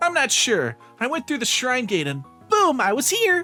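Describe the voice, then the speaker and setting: With faint music in the background, a man puts on a character voice at an extremely high pitch, with very wide pitch swings and a moderate pace. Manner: heroic.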